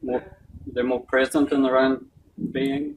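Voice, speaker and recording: A man with a New Zealand accent talks at a moderate pace. His fairly high-pitched voice has monotone, flat intonation. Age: 60s. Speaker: doctor giving a health talk. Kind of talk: talk with Q and A.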